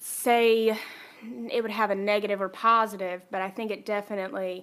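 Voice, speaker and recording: In a Southern US accent, a woman speaks at a fairly high pitch. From North Carolina, Kannapolis. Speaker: podcast guest. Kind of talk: casual chat.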